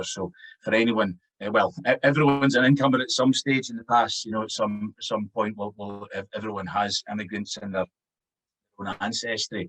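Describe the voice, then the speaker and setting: Moderate pace, with a Scottish accent. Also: man, medium pitch for a man, ordinary pitch variation, big swings in loudness, dry, close sound with no echo. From Scotland. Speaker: Gaelic language consultant. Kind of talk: academic conference talk.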